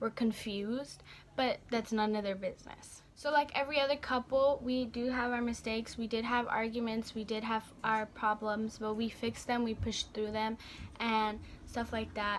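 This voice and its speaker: A woman's fairly high voice holds a monotone, flat intonation. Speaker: beauty vlogger. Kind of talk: storytime vlog. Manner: fast; halting, stuttering.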